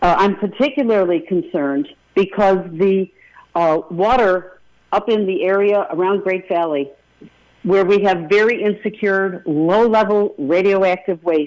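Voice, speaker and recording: A woman with a Rochester accent speaks at a fairly slow pace, her loudness very even. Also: medium pitch for a woman, ordinary pitch variation. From western New York, Rochester. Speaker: congressional candidate. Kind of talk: radio interview.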